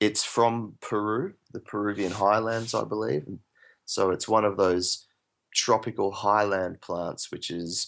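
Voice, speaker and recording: An Australian accent at a fairly slow pace, with fairly even intonation over a quiet background. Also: man, fairly low pitch for a man. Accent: Australian drawl. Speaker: permaculturist and plant expert. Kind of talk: interview. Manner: hesitant, many fillers.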